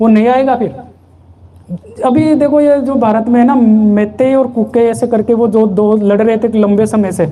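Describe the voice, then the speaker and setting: A man's dark, mellow voice, extremely high in pitch, with ordinary pitch variation, very even loudness, hardly any pauses and audible room echo. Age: 30s. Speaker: spiritual satsang leader. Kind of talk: sermon.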